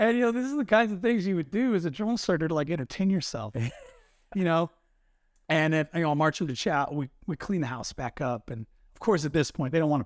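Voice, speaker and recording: Very fast and in an American accent, a man speaks at a fairly high pitch. His voice moves through very wide pitch swings. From Southern California. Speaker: retired marine. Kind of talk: casual interview storytelling. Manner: animated.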